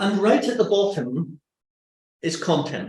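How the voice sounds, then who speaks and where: A man with a Northern Irish accent and ordinary pitch variation. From Northern Ireland. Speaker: webinar presenter. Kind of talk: webinar presentation.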